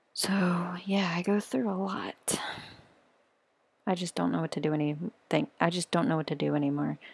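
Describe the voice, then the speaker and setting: A woman's quiet, fairly low voice with vocal fry, ordinary pitch variation and a moderate pace, in a dry, close sound with no echo. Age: 20s. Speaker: vlogger sharing personal struggles. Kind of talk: personal testimony vlog. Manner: quiet, hushed; halting.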